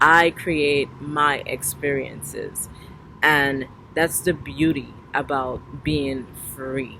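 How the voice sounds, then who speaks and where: Over noticeable background noise, a woman speaks at a very slow pace with a very deep, low pitch and monotone, flat intonation. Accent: Trinidadian. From Trinidad. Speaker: spiritual vlogger. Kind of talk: casual monologue. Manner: relaxed, conversational.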